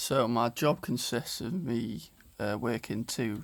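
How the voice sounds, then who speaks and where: A man with a North Welsh accent speaks at a medium pitch. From Wales. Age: 20s. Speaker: vlogger and online fitness coach. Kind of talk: casual vlog narration.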